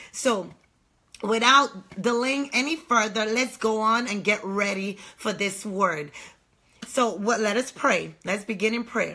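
A woman's bright, sharp voice at a fairly slow pace, with ordinary pitch variation over a quiet background. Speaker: online ministry host. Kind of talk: sermon introduction and prayer. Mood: fervent, prayerful. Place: home room. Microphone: phone near.

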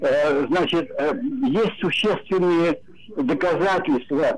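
A man's high-pitched voice with lively intonation, at a very slow pace, over light background noise. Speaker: caller. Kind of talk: political commentary. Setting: phone call. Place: home room. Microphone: video call.

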